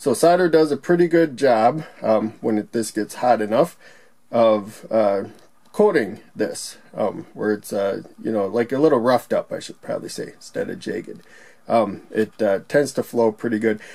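A man speaks at a moderate pace in a dark, mellow tone. The background is quiet. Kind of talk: tutorial. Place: workshop.

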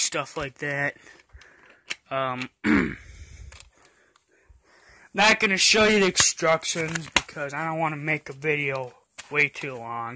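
A man speaking at a very slow pace, ordinary pitch variation, dry sound with no echo. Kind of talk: casual vlog chat. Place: home room. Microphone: phone near.

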